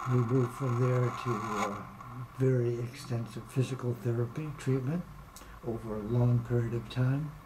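A man's flat monotone at a fairly slow pace, with noticeable background noise. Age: 80s+. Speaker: patient giving testimonial. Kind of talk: interview answer.

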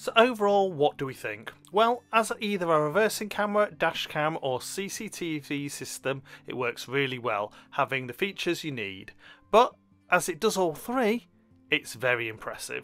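High-pitched with very wide pitch swings, a man speaks at a moderate pace. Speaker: product reviewer. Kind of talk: product review narration.

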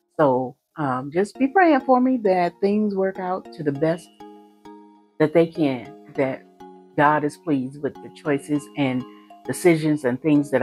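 Faint music plays behind a woman whose very deep, low voice is broken by long, frequent pauses. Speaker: sewing vlogger. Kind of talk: casual vlog chat. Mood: earnest, hopeful. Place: home room. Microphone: lapel.

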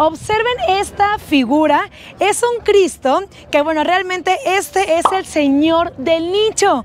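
A woman with an extremely high voice speaks at a very slow pace. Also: dry sound with no echo. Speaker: travel vlogger. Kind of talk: casual travel vlog presentation. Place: street. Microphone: lapel.

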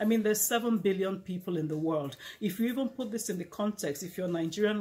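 At a moderate pace, the voice sounds somewhat breathy, with ordinary pitch variation. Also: woman. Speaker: speaker. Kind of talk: inspirational talk to camera. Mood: earnest, warm encouragement. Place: home room. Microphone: lapel.

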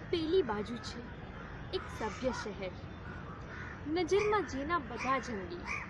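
A woman's voice with very wide pitch swings, dry with no echo, over noticeable background noise. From Junagadh district, Gujarat, India. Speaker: actress. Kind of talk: poetry reading. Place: open country.

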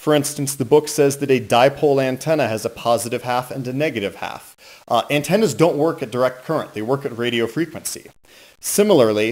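Ordinary pitch variation from a man speaking fairly quickly. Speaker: radio hobbyist reviewer. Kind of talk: book review commentary. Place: home room.

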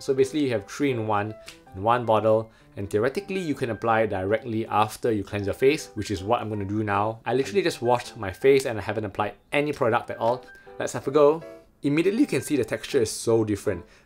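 A man at a very fast pace over faint music in the background. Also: ordinary pitch variation. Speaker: skincare reviewer. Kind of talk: product review vlog. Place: home room. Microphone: phone near.

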